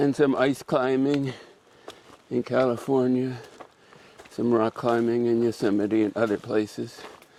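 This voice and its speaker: A man's medium-pitched, monotone voice with flat intonation and very even loudness, fairly slow with long, frequent pauses, over noticeable background noise. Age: 80s+. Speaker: backpacker. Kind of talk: interview.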